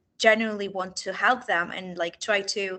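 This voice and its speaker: A woman with a Russian accent speaks at medium pitch and a moderate pace, her bright, sharp tone carrying fairly even intonation. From Kyiv, Ukraine. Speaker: refugee rights worker. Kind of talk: webinar Q&A answer. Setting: video call webinar.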